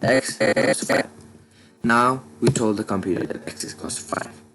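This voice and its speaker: Music plays in the background. Over it, a man talks at a medium pitch. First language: Dzongkha. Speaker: programming tutor. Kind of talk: tutorial. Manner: casual, halting with fillers.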